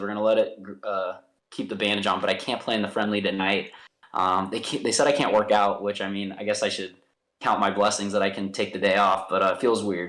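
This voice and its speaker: A man speaks at a very fast pace with a Midwestern American accent. The recording is very clean, with a silent background. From US Midwest, St. Louis. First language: American Sign Language. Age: 30s. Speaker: professional soccer player. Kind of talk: podcast interview.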